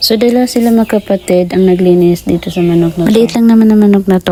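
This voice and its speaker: A woman speaks over noticeable background noise. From Philippines. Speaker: vlogger. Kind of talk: vlog voice-over narration. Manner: casual, chatty.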